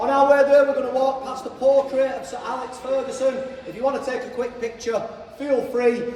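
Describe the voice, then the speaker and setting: With a Manchester accent, a man speaks at a fairly quick pace and an extremely high pitch, with noticeable background noise and audible room echo. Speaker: stadium tour guide. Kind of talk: guided tour talk. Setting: stadium, with tour group. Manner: animated, enthusiastic.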